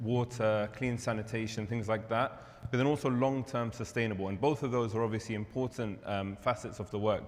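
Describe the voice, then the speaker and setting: A man speaks with a London accent at a medium pitch. His intonation stays fairly even. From London, England. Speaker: charity representative. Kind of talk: presentation.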